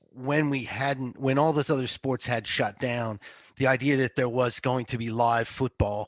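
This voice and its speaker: In a normal speaking voice, a man talks at a medium pitch and moderate pace with ordinary pitch variation and a dry, close sound with no echo. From United States. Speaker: football betting analyst. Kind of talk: podcast interview.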